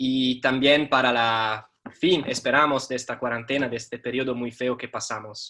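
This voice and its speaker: A man speaks with an Italian accent at a medium pitch. His tone is bright and sharp, and his pace moderate. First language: Italian (speaking Spanish). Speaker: teacher and journalist. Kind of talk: talk. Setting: video call. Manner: halting.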